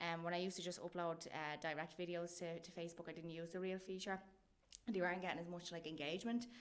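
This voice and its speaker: In a strong Irish accent, a woman talks at a very fast pace with a fairly low pitch and monotone, flat intonation. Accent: thick Irish. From Ireland. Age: 30s. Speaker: comedian. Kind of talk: casual chat.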